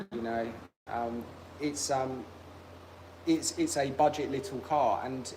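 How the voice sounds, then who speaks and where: With a British accent and medium pitch, a man speaks at a fairly slow pace, using ordinary pitch variation and long, frequent pauses. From UK. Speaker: car restoration youtuber. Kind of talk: casual livestream chat.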